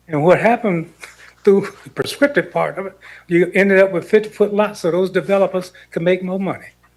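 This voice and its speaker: In a Southern US accent, a man talks at a fairly quick pace in a high voice with fairly even intonation. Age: 70s. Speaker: committee member, former local official. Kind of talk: public meeting remarks.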